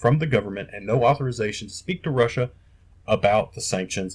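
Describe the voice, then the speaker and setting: The speaker has an American accent and a somewhat breathy voice, talking at a fairly quick pace with ordinary pitch variation. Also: man. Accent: Southern US redneck. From US South, Kentucky and North Carolina. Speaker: podcast host. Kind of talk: casual rant. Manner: animated.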